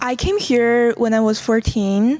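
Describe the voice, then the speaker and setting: Fairly slow pace in a Chinese accent. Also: woman. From China. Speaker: student, volunteer ESL tutor. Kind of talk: personal testimony interview.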